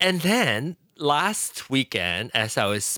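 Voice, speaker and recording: A man's voice with very wide pitch swings and a bright, sharp tone, dry and close with no echo, on a very clean recording with a silent background. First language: Hokkien. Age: 40s. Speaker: podcaster and tech enthusiast. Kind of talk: casual chat.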